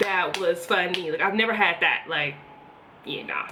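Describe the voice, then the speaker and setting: A woman with an American accent talks at a moderate pace in a bright, sharp tone, her pitch varying in an ordinary way, with audible room echo around her. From US Northeast, Philadelphia. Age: 20s. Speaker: beauty vlogger. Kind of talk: casual chat. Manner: casual, rambling with fillers.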